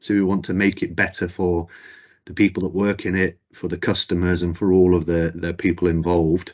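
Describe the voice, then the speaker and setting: A man with a Mancunian accent speaks at a very deep, low pitch. His delivery is fairly quick, with monotone, flat intonation. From northern England, Manchester. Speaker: company chief executive. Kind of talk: corporate presentation.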